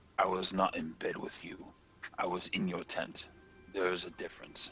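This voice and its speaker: A put-on character voice from a man, with clearly audible background noise. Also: moderate pace. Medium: actual play. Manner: clipped, broken grammar.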